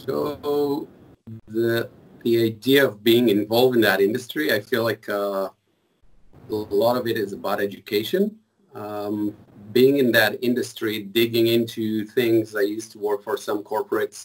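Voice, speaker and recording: A man talks moderately fast, his voice at a medium pitch and his intonation fairly even. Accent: Israeli. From Israel. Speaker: mobile forensics engineer. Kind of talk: casual interview.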